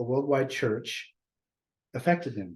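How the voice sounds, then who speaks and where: A man's somewhat breathy voice, dark and mellow in tone, at medium pitch and a moderate pace. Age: 60s. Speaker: discussion group host. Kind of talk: casual group discussion. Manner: halting.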